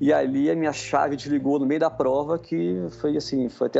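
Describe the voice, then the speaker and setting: A man with a plain, everyday voice and a fairly high pitch speaks at a moderate pace. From Rio de Janeiro, Brazil. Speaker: amateur marathon runner. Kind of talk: casual chat.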